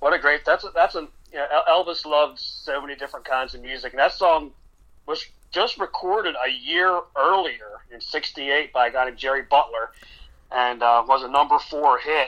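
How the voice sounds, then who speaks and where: With an American accent, a man speaks in a normal speaking voice at a fairly high pitch and a moderate pace. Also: ordinary pitch variation. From Maryland, near Baltimore. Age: 50s. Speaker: tribute artist singer. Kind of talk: radio interview.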